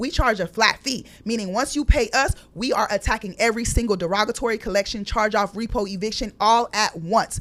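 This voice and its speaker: With an animated tone and hardly any pauses, a woman talks at a fairly quick pace and a fairly high pitch with ordinary pitch variation. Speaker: credit repair business owner. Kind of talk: interview.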